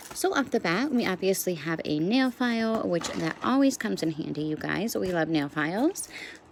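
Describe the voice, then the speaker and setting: A woman's voice makes very wide pitch swings. She keeps a moderate pace over noticeable background noise. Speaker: nail art youtuber. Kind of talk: casual product review tutorial. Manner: chatty, filler words.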